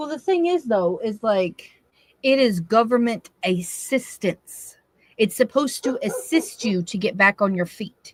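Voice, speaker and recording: A somewhat breathy voice with a Southern US accent, very wide pitch swings and a fairly slow pace, sounding dry and close with no echo. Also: woman. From US South, Tennessee. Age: 30s. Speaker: live stream co-host. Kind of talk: casual chat. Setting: live stream.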